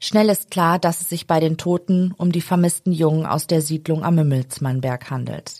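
Using an ordinary speaking voice, a woman talks at a moderate pace in a fairly low pitch with fairly even intonation and hardly any pauses. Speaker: true crime podcast host. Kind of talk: true-crime narration, read from script. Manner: serious, measured, even storytelling pace.

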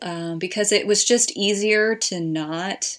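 This is an ordinary speaking voice, delivered with fairly even intonation. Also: woman. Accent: American. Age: 30s. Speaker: marriage and family therapist. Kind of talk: casual chat.

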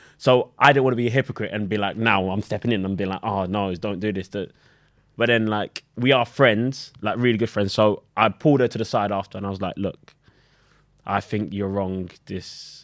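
With a British accent, a man talks at a moderate pace in a fairly low pitch and fairly even intonation, on a very clean recording with a silent background. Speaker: reality TV contestant. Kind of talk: casual chat.

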